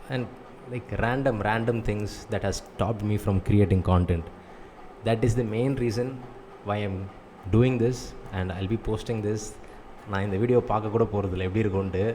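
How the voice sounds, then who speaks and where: With a Tamil accent, a man talks at a moderate pace and a fairly low pitch, using fairly even intonation and long, frequent pauses over noticeable background noise. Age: 20s. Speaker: vlogger, online business owner. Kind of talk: personal vlog monologue. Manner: monotone; mumbling.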